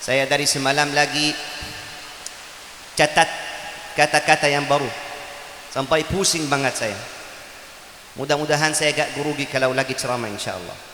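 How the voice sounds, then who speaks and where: With long, frequent pauses, a man talks at a moderate pace and a fairly high pitch, his intonation fairly even, against noticeable background noise. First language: Arabic (speaking Indonesian). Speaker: Quran teacher and preacher. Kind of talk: sermon. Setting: religious gathering, raining.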